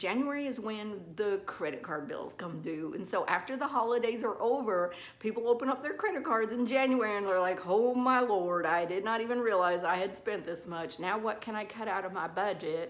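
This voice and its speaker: Over noticeable background noise and audible room echo, a woman with a fairly high pitch speaks with lively intonation and hardly any pauses. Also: moderate pace. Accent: Southern US. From US South. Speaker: nail technician. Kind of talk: tutorial. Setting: salon. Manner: casual, chatty.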